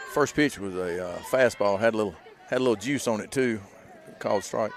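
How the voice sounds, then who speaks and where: A man's medium-pitched voice at a fairly quick pace, with ordinary pitch variation and crowd noise in the background. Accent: American. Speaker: sports play-by-play commentator. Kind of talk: live commentary. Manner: fast; casual, chatty.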